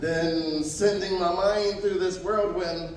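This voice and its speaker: Noticeable background noise runs under the clip. A man with a high pitch speaks at a fairly slow pace. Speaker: spoken word poet. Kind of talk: poetry slam performance. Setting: live event. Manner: emotional, intense.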